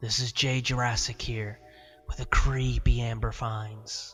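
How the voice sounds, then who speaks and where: A put-on character voice with a low pitch speaks at a fairly slow pace. Faint music plays in the background. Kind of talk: announcer-like. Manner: creepy.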